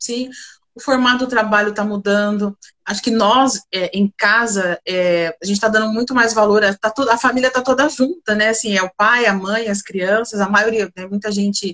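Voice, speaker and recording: With a plain, everyday voice, a woman talks at a moderate pace in a fairly high pitch, her intonation fairly even and the sound dry and close with no echo. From interior of São Paulo state, Brazil (Bebedouro). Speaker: corporate leader in procurement, economist. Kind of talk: live-stream interview.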